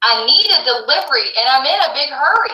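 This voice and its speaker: A woman puts on a character voice, pitched high and swinging very widely up and down. She talks at a fairly quick clip, with a slight echo around her. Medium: read story.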